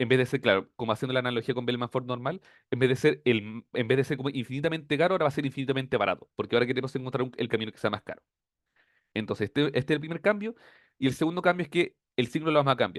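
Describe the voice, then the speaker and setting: Talking at a very fast pace, a man speaks with a Chilean accent. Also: medium pitch for a man, ordinary pitch variation. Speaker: teaching assistant. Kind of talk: tutorial.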